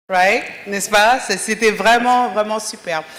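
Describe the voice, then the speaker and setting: A very clean recording with a silent background and ordinary pitch variation. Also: woman. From Africa. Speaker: audience member, doctor. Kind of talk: audience comment at panel.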